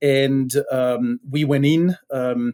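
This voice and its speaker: Speaking with a Belgian accent, a man has a medium-pitched, dark and mellow voice, heard dry and close with no echo. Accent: Belgian accent, noticeable. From Belgium. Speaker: tech startup founder. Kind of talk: podcast interview. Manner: hesitant, many fillers.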